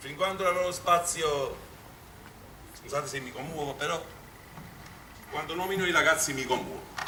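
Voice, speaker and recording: Over noticeable background noise and audible room echo, a man with a Neapolitan accent speaks at a moderate pace and a fairly high pitch, with fairly even intonation, big swings in loudness, and long, frequent pauses. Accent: Neapolitan Italian. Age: middle-aged. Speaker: amateur theatre director. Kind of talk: stage speech to audience. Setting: stage with audience. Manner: halting.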